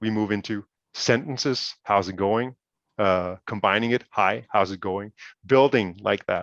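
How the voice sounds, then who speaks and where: A man with a Danish accent talks at a fairly slow pace and a fairly low pitch, with ordinary pitch variation. The sound is dry and close, with no echo. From Denmark. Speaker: project partner presenting educational game. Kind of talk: webinar presentation. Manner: hesitant, many fillers and repetitions.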